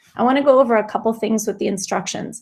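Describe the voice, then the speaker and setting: In a plain, everyday voice, a woman talks at a fairly quick pace with fairly even intonation. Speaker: teacher giving a staff tech workshop. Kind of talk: tutorial.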